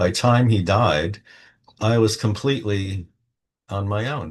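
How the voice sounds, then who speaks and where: A man's somewhat breathy voice against a quiet background. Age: 70s. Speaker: tarot reader. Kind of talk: personal monologue to camera. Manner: casual, unscripted.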